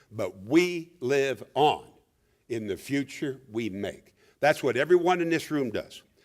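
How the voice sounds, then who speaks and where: An ordinary speaking voice with lively intonation moves at a fairly slow pace. The recording is very clean, with a silent background. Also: man, fairly high pitch for a man. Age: 60s. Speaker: veteran journalist, keynote speaker. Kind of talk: awards speech. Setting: awards event with audience.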